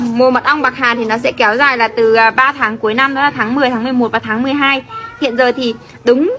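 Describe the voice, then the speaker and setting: Over light background noise, a woman with a high pitch talks at a moderate pace in a monotone, flat intonation. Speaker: rural food vlogger. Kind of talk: casual vlog chat with product promotion.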